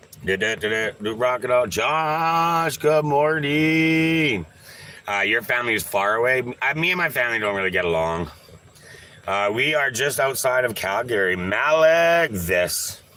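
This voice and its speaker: Over noticeable background noise, a man of medium pitch speaks at a fairly slow pace with very wide pitch swings. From Canada. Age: 40s. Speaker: live streamer. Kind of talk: casual livestream chat. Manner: animated.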